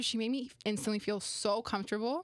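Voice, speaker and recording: Over noticeable background noise, a woman speaks at a fairly quick pace. Her fairly high voice has lively intonation. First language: Romanian. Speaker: women's sports media personality. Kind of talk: casual chat. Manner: casual, filler-heavy (lots of 'like').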